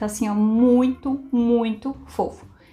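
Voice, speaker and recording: A woman speaks with a fairly high voice. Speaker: felt craft teacher. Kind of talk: tutorial. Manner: fast; animated.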